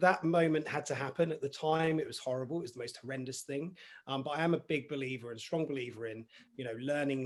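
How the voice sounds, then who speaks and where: His delivery is fairly quick. The man talks in an English accent. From southern England, Basingstoke, Hampshire. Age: 40s. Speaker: mental health coach. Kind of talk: interview.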